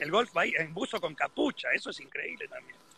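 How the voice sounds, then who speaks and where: A man speaks in a raised, projected voice. His pace is moderate. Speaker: golf professional. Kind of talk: casual interview.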